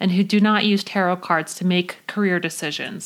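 A woman's medium-pitched voice, fairly quick, with monotone, flat intonation. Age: 30s. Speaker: podcast host. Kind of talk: scripted monologue. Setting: recording under a blanket. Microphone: muffled by blanket for acoustics.

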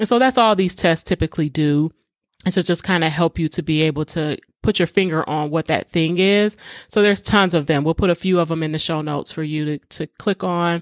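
Speaking at a fairly quick pace with an American accent, the voice is an unremarkable speaking voice with ordinary pitch variation, recorded very cleanly against a silent background with a dry, close sound and no echo. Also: woman, fairly low pitch for a woman. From Detroit, US. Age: 40s. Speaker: podcast host, faith-based emotional healing. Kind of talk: solo podcast monologue, personal testimony.

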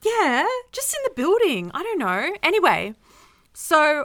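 Very wide pitch swings mark a woman's bright, sharp voice with a New South Wales accent. She speaks at a moderate pace on a very clean recording with a silent background. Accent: Newcastle (Australian) accent, noticeable. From Newcastle, Australia. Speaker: podcast co-host. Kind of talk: casual chat.

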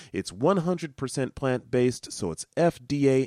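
A man speaks in a normal speaking voice at a medium pitch and moderate pace. The recording is very clean and dry, with a silent background and no echo. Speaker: radio show host. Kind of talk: radio DJ patter: a station ID, then a plug for the show's web address and email. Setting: radio station broadcast and podcast.

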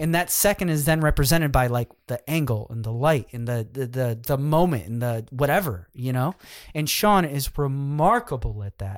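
A man talks at a moderate pace with lively intonation in a plain, everyday voice. The recording is very clean, with a silent background. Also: medium pitch for a man. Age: 30s. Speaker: photographer. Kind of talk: casual conversation.

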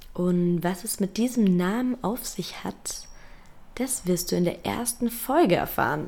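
Lively intonation marks this woman's speech. She goes at a very slow pace. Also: medium pitch for a woman. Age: 20s. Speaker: podcast host. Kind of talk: solo podcast introduction. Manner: animated.

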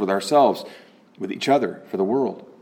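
Amid noticeable background noise, a man speaks in a warm tone with lively intonation. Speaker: spiritual teacher giving a talk and leading a meditation. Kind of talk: spiritual talk followed by guided meditation. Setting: recorded online address to a remote audience during the coronavirus lockdown. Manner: warm, lightly conversational in the opening talk.

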